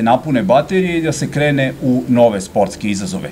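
Over light background noise, a man speaks at a fairly quick pace. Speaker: local TV host. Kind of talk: interview introduction. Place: cafe. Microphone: podium.

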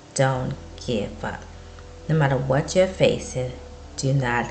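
A woman speaks over light background noise. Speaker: vlogger. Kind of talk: encouraging casual vlog talk. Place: home room. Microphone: webcam.

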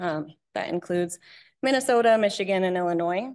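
A woman's pitch varies in an ordinary way over a quiet background. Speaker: presenter. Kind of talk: lecture.

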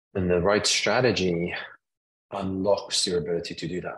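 A man's very deep, low voice against a quiet background. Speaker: marketing consultant; interview guest. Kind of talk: interview answer. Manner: soft-spoken, mild-mannered. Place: home room. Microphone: video call.

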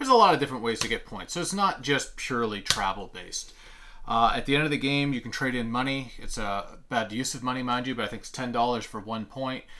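Speaking at a very fast pace, a man uses a bright, sharp tone with ordinary pitch variation. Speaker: board game reviewer. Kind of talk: tutorial. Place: home room.

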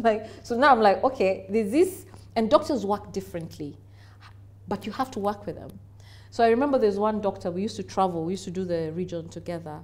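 A woman talks at a very fast pace in a Kenyan accent. Her intonation is lively, with vocal fry. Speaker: business executive. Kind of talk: interview. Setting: studio. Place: studio. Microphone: lapel.

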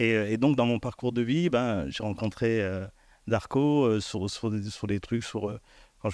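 Recorded dry with no echo against a quiet background, the voice moves at a moderate pace. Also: man. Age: 50s. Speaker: elected official and former hip-hop dancer; guest. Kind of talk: panel discussion. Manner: halting. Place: stage. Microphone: handheld.

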